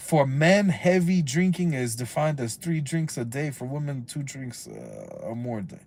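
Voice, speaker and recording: With an American accent, a man speaks at a moderate pace and a fairly high pitch, somewhat breathy, with ordinary pitch variation, big swings in loudness and hardly any pauses. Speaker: YouTuber, civil rights activist. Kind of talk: reading aloud with casual commentary. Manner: halting; animated.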